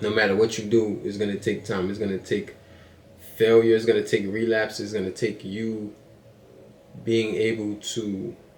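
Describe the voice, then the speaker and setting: Long, frequent pauses break up a man's fairly low, monotone, flat delivery. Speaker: motivational podcaster. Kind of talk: motivational monologue. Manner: fast; casual, repetitive with filler words.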